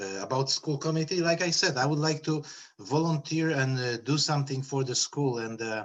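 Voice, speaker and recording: A man's fairly high voice with a Polish accent, moderate pace and ordinary pitch variation. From Poland. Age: 30s. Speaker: school committee candidate. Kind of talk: public meeting interview. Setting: video call. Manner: halting.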